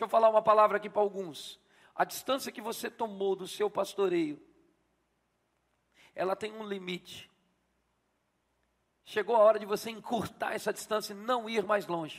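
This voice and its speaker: At a moderate pace, a man speaks in a high voice with fairly even intonation. His loudness swings widely, and he takes long, frequent pauses. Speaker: pastor. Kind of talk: sermon. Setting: church.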